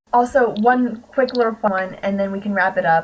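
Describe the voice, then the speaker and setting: Medium-pitched female speech with ordinary pitch variation over noticeable background noise. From US, Pittsburgh area. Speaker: podcast host. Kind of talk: interview.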